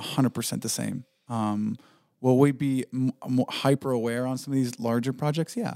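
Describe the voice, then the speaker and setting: Recorded dry and close with no echo, a man with an American accent talks at a moderate pace and medium pitch, with fairly even intonation, in a plain, everyday voice. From southwestern Pennsylvania, near West Virginia border. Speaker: video production company owner. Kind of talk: casual chat.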